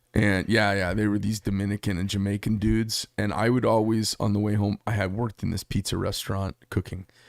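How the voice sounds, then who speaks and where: With an Arizona accent, a man talks at a fairly quick pace and a fairly low pitch, his intonation flat and monotone. The sound is dry and close with no echo, on a very clean recording with a silent background. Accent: Arizona way of talking. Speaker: knife shop owner. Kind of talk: casual chat.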